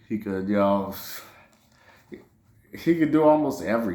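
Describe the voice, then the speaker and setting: A man with a New Orleans accent talks at a moderate pace in a medium-pitched voice, with ordinary pitch variation. His tone is animated, and audible room echo surrounds him. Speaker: sports podcaster. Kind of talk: casual sports commentary monologue.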